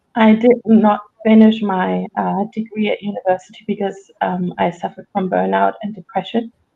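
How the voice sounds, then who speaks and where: This woman has a German accent. She keeps a moderate pace. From Germany. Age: 40s. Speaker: resilience coach and author. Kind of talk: podcast interview. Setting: live stream. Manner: hesitant, searching for words.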